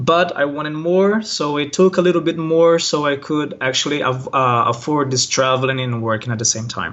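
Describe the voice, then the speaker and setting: With a Brazilian accent, a man with a fairly high pitch talks at a moderate pace, hardly pausing, over noticeable background noise. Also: ordinary pitch variation. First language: Portuguese. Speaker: online language teacher. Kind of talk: interview. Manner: hesitant, many fillers.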